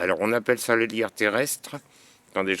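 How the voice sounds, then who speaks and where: A man mumbles in a put-on character voice at a medium pitch. He goes at a fairly quick pace with fairly even intonation. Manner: mumbling.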